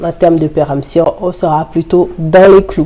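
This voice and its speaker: The speech moves at a fairly slow pace in a monotone, flat intonation, with noticeable background noise. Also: woman. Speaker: vlogger. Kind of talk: casual vlog chat while cooking. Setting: home kitchen. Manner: articulating more carefully.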